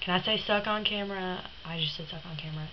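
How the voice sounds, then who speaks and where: A woman speaks at medium pitch with ordinary pitch variation, over noticeable background noise. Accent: Southern US. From Tennessee. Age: young. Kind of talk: casual talk to camera.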